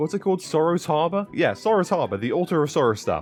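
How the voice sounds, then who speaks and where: A man's animated, fairly high-pitched voice with a British accent, fairly quick pace and very wide pitch swings. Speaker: gaming YouTuber. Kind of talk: gaming tutorial. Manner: casual, animated.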